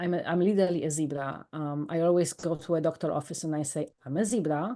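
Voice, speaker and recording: A woman's fairly low, dark, mellow voice with a Polish accent, very fast pace and ordinary pitch variation over a quiet background. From Poland. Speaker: life coach and author. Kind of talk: podcast interview. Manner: animated.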